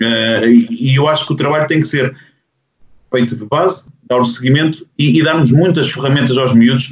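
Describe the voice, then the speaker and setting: The man's voice is somewhat breathy, medium in pitch, moderately paced and ordinary in its pitch variation. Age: 40s. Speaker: basketball coach. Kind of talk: panel discussion.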